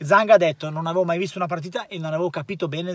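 Over a quiet background, a man with a high pitch speaks at a very fast pace in an angry tone, his pitch varying in an ordinary way, the sound dry with no echo. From Italy. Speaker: football commentator. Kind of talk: casual football commentary chat. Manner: angry, cursing, indignant. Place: car. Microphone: phone near.

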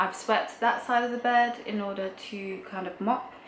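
A woman is speaking. Light background noise and audible room echo are present. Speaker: vlogger. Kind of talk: casual vlog chat. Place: home room. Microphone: camera far.

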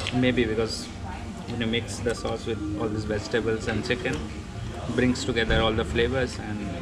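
Loud music plays in the background as the speech goes at a moderate pace. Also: man. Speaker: food vlogger. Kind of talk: casual vlog chat. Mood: relaxed, pleased. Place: cafe. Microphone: phone near.

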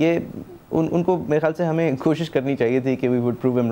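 The tone is dark and mellow, the loudness very even, the pace moderate, and the pitch variation ordinary. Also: man. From Pakistan. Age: young. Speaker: TV talk show host. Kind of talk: television interview. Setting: TV studio. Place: studio. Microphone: lapel.

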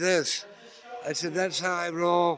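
Over light background noise, a man talks in a bright, sharp tone. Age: 70s. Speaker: counterculture activist and radio host; radio host. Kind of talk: interview. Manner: rambling, halting. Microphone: handheld.

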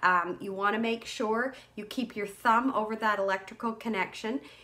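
The speaker is a woman with a medium pitch. Her tone is fairly bright.

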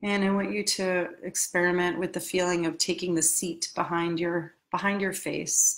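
A woman with an American accent speaks in a fairly low, monotone, flat voice over a quiet background. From New York City. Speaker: life coach. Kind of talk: guided meditation; coaching talk. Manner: halting. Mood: calm, soothing. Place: home room. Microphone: webcam.

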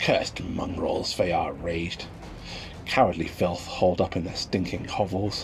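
Putting on a growling character voice, a man speaks at a moderate pace in a very deep, low, angry tone over clear background noise. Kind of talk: fantasy story reading. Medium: read story. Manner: snarling, angry.

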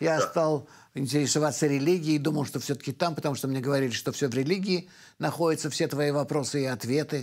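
Against a quiet background, a man with a fairly high pitch speaks at a very fast pace with fairly even intonation. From Belarus, Vitebsk; Belarus. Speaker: kabbalist and professor; professor. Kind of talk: radio interview. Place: studio.

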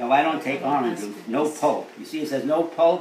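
This man's pitch varies in an ordinary way against noticeable background noise. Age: 80s+. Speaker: elderly man giving tips. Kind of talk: casual talk, informal interview answers. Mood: chatty, mildly opinionated. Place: kitchen. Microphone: phone near.

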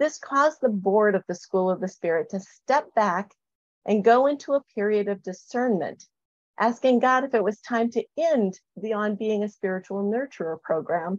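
A woman's plain, everyday voice, fairly high in pitch, with lively intonation and a moderate pace, in a dry sound with no echo and a quiet background. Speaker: spiritual program leader; presenter. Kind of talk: panel presentation. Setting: video call. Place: home room. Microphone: webcam.

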